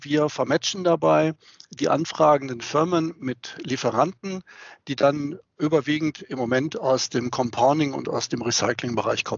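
A man's unremarkable speaking voice, fairly high in pitch, with ordinary pitch variation and a fairly slow pace. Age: 50s. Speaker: sales director at a plastics trading platform. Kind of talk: interview. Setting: video call.

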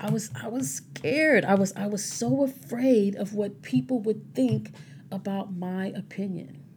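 A woman's medium-pitched voice, fairly slow, with very wide pitch swings, over noticeable background noise. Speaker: podcast host, sobriety advocate. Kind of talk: casual solo monologue. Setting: home recording at mic. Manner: halting, repeats words.

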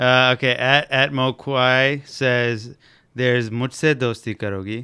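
Man's bright, sharp voice on a very clean recording with a silent background. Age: 30s. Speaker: podcast co-host. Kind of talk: casual chat. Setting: home recording room.

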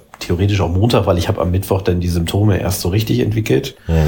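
A man with a fairly low pitch at a very fast pace, amid noticeable background noise. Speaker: politician and podcast co-host. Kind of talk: casual chat. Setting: remote call between cities. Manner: halting, many fillers.

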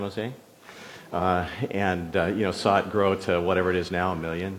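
A man with a Californian accent and a very deep, low pitch speaks at a moderate pace. Noticeable background noise and audible room echo surround his voice. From Northern California. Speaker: pastor. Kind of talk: sermon.

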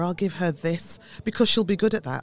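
A woman speaks with a British accent. Her pace is fairly quick. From UK, Caribbean family background. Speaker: church denomination leader, former health service manager. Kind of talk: radio interview.

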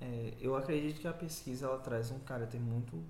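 A man talks with ordinary pitch variation and a somewhat breathy voice. Room echo is audible in the recording. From interior of Bahia, Brazil. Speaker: journalism student and researcher. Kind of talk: casual interview.

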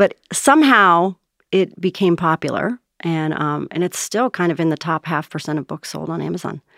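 On a very clean recording with a silent background and a dry, close sound with no echo, a woman with a fairly low pitch and vocal fry speaks at a moderate pace with ordinary pitch variation. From US, moved around (Navy family), summers in New Jersey. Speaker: author and change management consultant. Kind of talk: casual interview.

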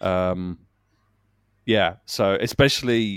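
A man speaks with a southern English accent and ordinary pitch variation. The sound is dry and close, with no echo. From Kent, England. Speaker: audio drama writer. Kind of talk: casual chat. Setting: remote call.

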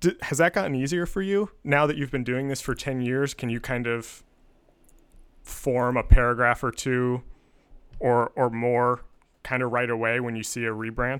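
A man with an American accent has an ordinary speaking voice at a medium pitch, with ordinary pitch variation. He talks at a moderate pace, and the recording is very clean with a silent background. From US, suburban Pennsylvania. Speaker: podcast host. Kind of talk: interview conversation.

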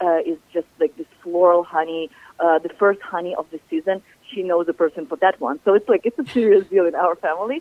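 Speaking with a Ukrainian accent, a woman moves at a fairly quick pace. Her pitch varies in an ordinary way. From southern Ukraine. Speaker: chef and cookbook author. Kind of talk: radio interview.

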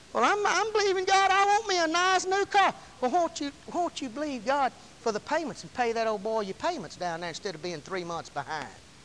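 At a fairly quick pace, a man with a Southern US accent speaks at an extremely high pitch with very wide pitch swings. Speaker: preacher. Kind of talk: fervent sermon climax, rapid-fire scripture declarations and hallelujahs. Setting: church. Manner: impassioned, rhythmic call-and-response exhortation; emphatic, repetitive shouts of praise.

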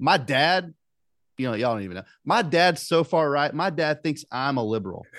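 A man with a Southern US accent talks at a fairly quick pace and a fairly high pitch. His intonation is lively, and the background is quiet. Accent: Southern US (Georgia). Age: 30s. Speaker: podcast host. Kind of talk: casual chat. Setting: video call.

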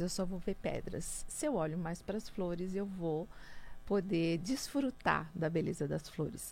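Using a plain, everyday voice, a woman talks at a fairly slow pace with a medium pitch and ordinary pitch variation. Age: 50s. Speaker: businesswoman and speaker. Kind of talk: radio interview.

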